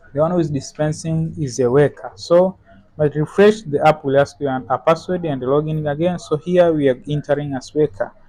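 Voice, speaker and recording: A man talks at a fairly quick pace and fairly high pitch. Noticeable background noise is present. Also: ordinary pitch variation. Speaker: software developer demonstrating app. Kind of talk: tutorial. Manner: halting.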